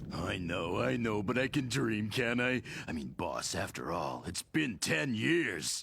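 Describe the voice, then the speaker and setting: With a raspy, put-on character voice, a man speaks fairly slowly at a fairly low pitch, making very wide pitch swings. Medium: fan dub. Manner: excitable.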